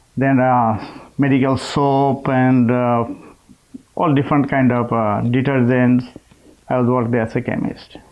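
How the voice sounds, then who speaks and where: A man with a Bangladeshi accent at medium pitch, fairly slow and flat in monotone, with very even loudness, long frequent pauses and noticeable background noise. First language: Bengali. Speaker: chemist. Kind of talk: interview. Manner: halting.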